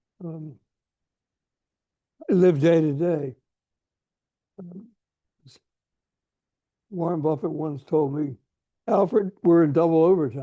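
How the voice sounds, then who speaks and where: Here is a man with an American accent and a dark, mellow tone. His pitch is fairly high, with ordinary variation, and his pace fairly slow. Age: 90s. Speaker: diplomat and philanthropist. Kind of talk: interview conversation. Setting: video call.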